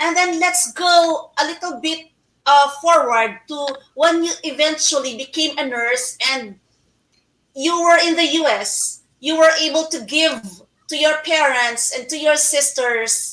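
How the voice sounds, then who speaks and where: A woman with a high, bright, sharp voice talks at a fairly slow pace with ordinary pitch variation. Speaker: online talk show host. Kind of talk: interview.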